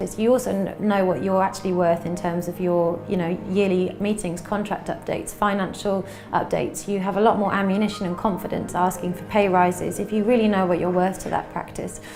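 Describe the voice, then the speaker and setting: In an English accent, a woman at medium pitch speaks fairly quickly with hardly any pauses and monotone, flat intonation, amid noticeable background noise and audible room echo. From England. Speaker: veterinarian. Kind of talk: interview.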